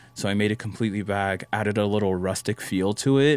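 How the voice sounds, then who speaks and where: This man has fairly low pitch, a moderate pace, a plain, everyday voice and an American accent. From Las Vegas, US. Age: 20s. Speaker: photographer. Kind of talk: casual chat.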